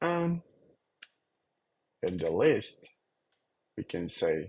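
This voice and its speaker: A non-native accent in a dry, close sound with no echo. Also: man. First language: not English. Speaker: software developer. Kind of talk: tutorial. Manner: halting, with fillers.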